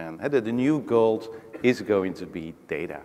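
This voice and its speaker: A man with a Dutch accent and lively intonation. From Netherlands, Rotterdam. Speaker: technology executive, panelist. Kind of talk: panel discussion. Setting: stage with audience.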